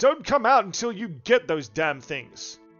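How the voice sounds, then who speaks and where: A put-on character voice growls, raised and projected. Faint music plays in the background. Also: man, high pitch for a man, moderate pace. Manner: grumpy, gruff, shouting down the stairs.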